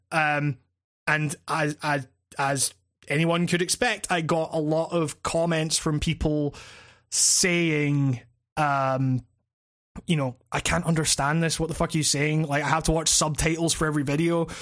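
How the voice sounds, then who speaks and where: With a Scottish accent, a man speaks slowly in a fairly high, monotone, flat voice at very even loudness, on a very clean recording with a silent background. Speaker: games critic and YouTube podcast host. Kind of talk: casual chat. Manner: halting, many false starts.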